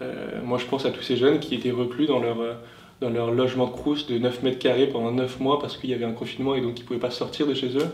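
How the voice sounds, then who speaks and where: A man talks very fast in a medium pitch with flat, monotone intonation. Noticeable background noise and audible room echo surround him. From southern France (Tarn). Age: 20s. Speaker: youth political party leader. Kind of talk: interview. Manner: hesitant, many fillers.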